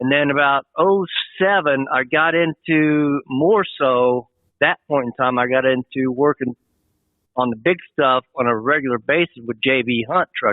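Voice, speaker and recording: A man with an unremarkable speaking voice talks at a fairly slow pace. His pitch is fairly high, with ordinary variation. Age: 60s. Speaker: truck driver, military veteran. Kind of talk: interview. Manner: casual, rambling.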